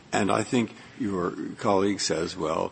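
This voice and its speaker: Lively intonation shapes the speech of a man. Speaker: judge. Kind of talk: oral argument. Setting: courtroom. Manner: halting.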